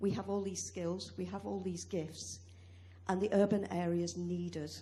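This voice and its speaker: Speaking at a fairly slow pace with a British accent, a woman is heard with audible room echo. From UK. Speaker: academic and farmer speaking from the floor. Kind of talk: conference floor contribution. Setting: conference hall with audience.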